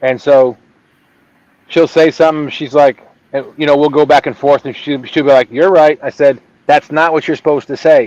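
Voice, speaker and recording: A man with an unremarkable speaking voice talks at a moderate pace and fairly high pitch. The intonation is fairly even, and the sound is dry and close with no echo. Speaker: fishing livestream host. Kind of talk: casual chat.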